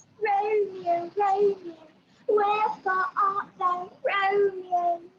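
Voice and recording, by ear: This put-on character voice has an extremely high pitch and a British accent. It moves at a very slow pace. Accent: exaggerated British.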